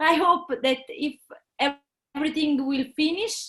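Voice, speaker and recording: A woman's raised, projected voice, bright and sharp in tone, reaches an extremely high pitch at a fairly slow pace. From southern Italy, Naples. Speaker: jazz guitarist. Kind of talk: video interview. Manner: halting.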